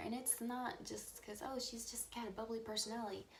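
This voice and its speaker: A woman speaks quietly. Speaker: true-crime vlogger. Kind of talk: casual vlog monologue. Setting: at home. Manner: hesitant with fillers.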